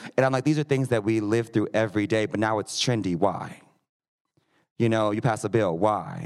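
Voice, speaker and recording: An American-accented man with a plain, everyday voice, medium pitch, ordinary pitch variation and a moderate pace. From Missouri. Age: 20s. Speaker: drag performer. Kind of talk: live panel discussion. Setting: stage with audience.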